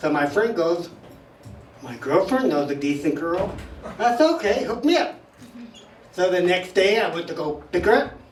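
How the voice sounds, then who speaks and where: A man's high voice with lively intonation, a moderate pace, long, frequent pauses, audible room echo, and music in the background. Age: 70s. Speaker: stand-up comic at open mic. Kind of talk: stand-up. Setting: stage with audience.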